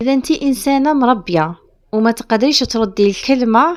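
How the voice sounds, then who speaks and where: A woman with an Algerian accent, lively intonation, and a fairly slow pace. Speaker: home lifestyle vlogger. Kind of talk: casual advice talk to camera.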